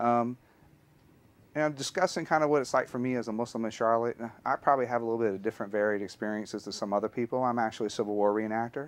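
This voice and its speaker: With a Southern US accent, a man talks at a very fast pace in a medium pitch, his pitch varying in an ordinary way. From US South, Alabama. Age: 40s. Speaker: history teacher. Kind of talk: personal testimony.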